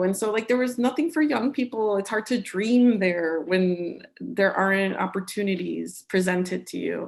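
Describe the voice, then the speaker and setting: A woman with a Chicago-area accent and ordinary pitch variation. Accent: Chicago-area American English. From Cicero, Illinois, US Midwest. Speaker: author. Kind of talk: conversation. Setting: live-streamed video event.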